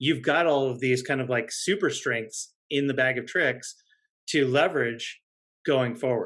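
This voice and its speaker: Against a quiet background, a man with a plain, everyday voice speaks at a moderate pace, fairly high in pitch, with fairly even intonation. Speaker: marketing executive. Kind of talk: interview.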